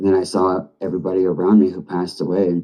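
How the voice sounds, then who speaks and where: A soft-spoken man with a very deep, low pitch and a dark, mellow tone, talking at a moderate pace. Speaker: recovering addict. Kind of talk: testimony.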